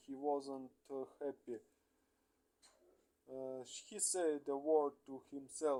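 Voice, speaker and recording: Very slowly and with fairly even intonation, a man with a Russian accent speaks at a fairly high pitch in a dark, mellow tone. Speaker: English learner. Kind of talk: reading aloud. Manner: halting, many hesitations.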